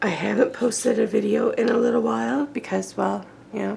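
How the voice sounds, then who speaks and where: Noticeable noise sits in the background. Over it, a woman speaks at a moderate pace. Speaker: mixed media art crafter. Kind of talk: crafting tutorial. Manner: casual, chatty.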